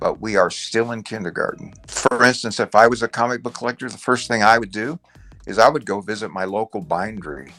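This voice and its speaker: Over music in the background, a man at a medium pitch talks at a fairly quick pace with ordinary pitch variation. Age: 70s. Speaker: comic book collector. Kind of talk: interview. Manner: animated.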